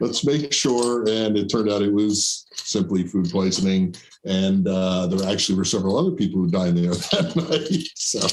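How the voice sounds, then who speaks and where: Lively intonation from a man with a fairly low voice and an American accent, with noticeable background noise. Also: moderate pace, very even loudness. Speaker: show host and musician. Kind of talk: casual chat. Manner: mumbly.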